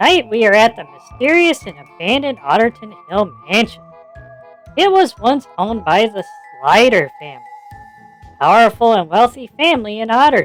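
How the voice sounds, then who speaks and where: A cartoonish character voice, fairly high in pitch, at a moderate pace over faint music in the background. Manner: enthusiastic, steady.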